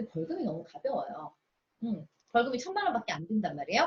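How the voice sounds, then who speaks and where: A woman speaks at a very fast pace with a fairly high pitch and an animated tone. Her pitch swings very widely. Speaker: pharmacist and nutrition lecturer. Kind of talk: lecture. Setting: video call.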